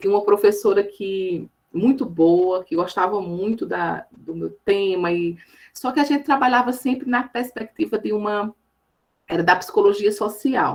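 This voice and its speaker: Speaking in a Paraíba accent, a woman talks at a fairly slow pace with a medium pitch and ordinary pitch variation. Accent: Paraíba northeastern Brazilian. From Northeast Brazil, Campina Grande, Paraíba. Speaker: education professor. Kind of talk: lecture. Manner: halting, many fillers.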